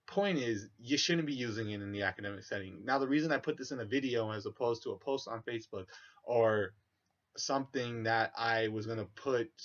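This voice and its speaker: A man mumbles at a fairly quick pace, his medium-pitched voice showing ordinary pitch variation. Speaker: vlogger. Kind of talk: monologue to camera. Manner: mumbling.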